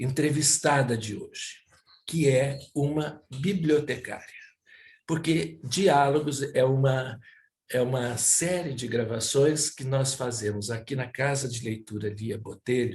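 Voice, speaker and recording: At a very slow pace, a man with a fairly high pitch sounds somewhat breathy, with ordinary pitch variation. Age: 70s. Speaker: cultural center director, interviewer. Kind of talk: interview introduction. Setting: at home, by a fireplace. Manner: hesitant, with filler sounds.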